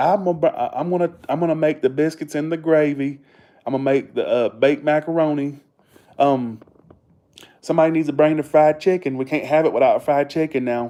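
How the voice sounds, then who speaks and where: A man with a Southern US accent talks at a fairly quick pace in a fairly high pitch. His tone is dark and mellow, and his intonation stays fairly even. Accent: Southern US accent, noticeable. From US South, Georgia. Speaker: live streamer. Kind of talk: casual chat. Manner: fast.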